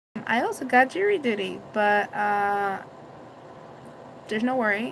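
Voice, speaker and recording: Noticeable background noise runs under a woman speaking at a fairly slow pace. Her pitch is fairly high, with ordinary pitch variation. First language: Spanish. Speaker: vlogger. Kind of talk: casual live stream chat. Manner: loud; halting.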